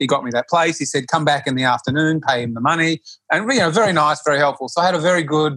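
This man talks at a very fast pace with an Australian accent, his voice fairly high for a man. His tone is bright and sharp, and his pitch varies in an ordinary way. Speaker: yoga practitioner. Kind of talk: interview conversation.

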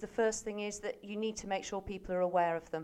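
A woman at medium pitch with ordinary pitch variation, a plain, everyday voice, and a quiet background. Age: 50s. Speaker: charity research head. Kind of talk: interview.

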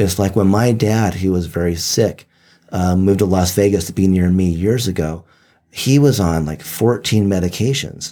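His tone is dark and mellow, with ordinary pitch variation. The man's pitch is very deep and low. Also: moderate pace. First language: Japanese. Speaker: medical tourism traveler and guest. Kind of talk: casual chat. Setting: studio.

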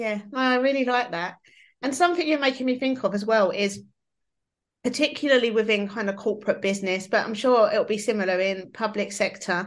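A plain, everyday voice with lively intonation at a moderate pace, against a quiet background. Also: woman. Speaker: podcast host and workshop facilitator. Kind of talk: casual interview chat.

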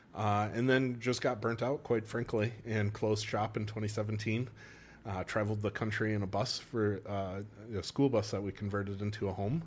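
A man talks at a moderate pace with a Wisconsin accent. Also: fairly low pitch for a man. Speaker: chiropractor. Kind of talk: casual chat. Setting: studio. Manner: animated.

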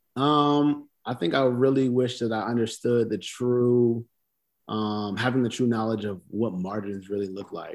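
At a fairly slow pace, an unremarkable speaking voice moves with ordinary variation in pitch. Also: man, medium pitch for a man. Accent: American. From US South. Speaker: clothing brand founder. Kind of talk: casual interview.

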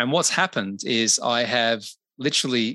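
In an Australian accent, the voice has a bright, sharp tone and ordinary pitch variation. The sound is dry and close with no echo, over a quiet background. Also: man. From Australia (Adelaide). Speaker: business consultant and podcaster. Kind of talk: interview conversation.

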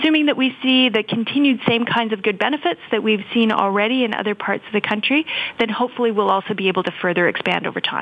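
A fairly high-pitched woman's voice at a very fast pace, with ordinary pitch variation and noticeable background noise. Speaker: healthcare foundation CEO. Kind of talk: interview.

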